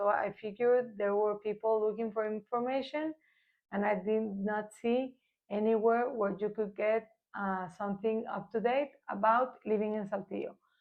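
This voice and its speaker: At a moderate pace, a woman speaks with a Spanish accent. Her pitch is fairly high and her intonation fairly even. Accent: Spanish accent, imperfect pronunciation. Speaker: real estate agent. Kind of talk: informational vlog. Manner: hesitant, with fillers.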